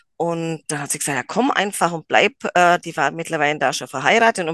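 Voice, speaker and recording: A woman speaks at a moderate pace in a fairly low pitch, her tone bright and sharp, with a dry, close sound free of echo against a quiet background. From rural Germany. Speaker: psychomotor therapy trainer, gymnastics teacher. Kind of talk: casual interview.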